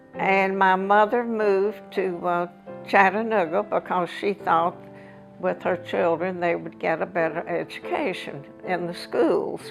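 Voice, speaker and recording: Over music in the background, a woman with an American accent speaks at a fairly slow pace. Her intonation is lively. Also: medium pitch for a woman. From Southern US. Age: 80s+. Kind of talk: interview answer.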